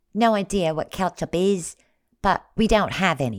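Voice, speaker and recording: A female-sounding, put-on character voice at a medium pitch and moderate pace, in a very clean recording with a silent background. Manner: bored.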